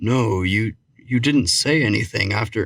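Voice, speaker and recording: A man speaks in a put-on character voice, raspy and at a medium pitch. His pace is fairly slow. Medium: read story. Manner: terse, restrained.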